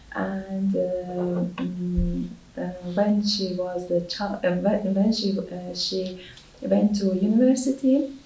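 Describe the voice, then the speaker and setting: A woman at a medium pitch speaks at a very slow pace with ordinary pitch variation, with noticeable background noise and audible room echo around her. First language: not English. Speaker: English language exam candidate. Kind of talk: spoken language exam. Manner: halting, many hesitations.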